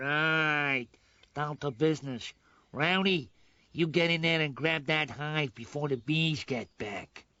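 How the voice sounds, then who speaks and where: In a cartoonish character voice, a man talks at a fairly slow pace with a fairly high pitch. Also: ordinary pitch variation. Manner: bossy, impatient.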